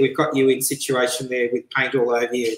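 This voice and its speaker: The pace is fairly quick. Audible room echo surrounds the speech. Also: man. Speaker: show host interviewer. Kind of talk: interview question. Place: home room. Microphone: headset.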